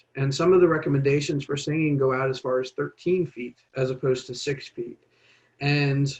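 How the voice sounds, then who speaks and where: A man talks in a somewhat breathy voice. His intonation stays fairly even. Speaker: public health presenter. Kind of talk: informational presentation.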